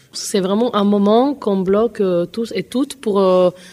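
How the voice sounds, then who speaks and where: A woman speaks very slowly at a medium pitch. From Colombia or Venezuela. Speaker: singer. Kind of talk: interview. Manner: halting.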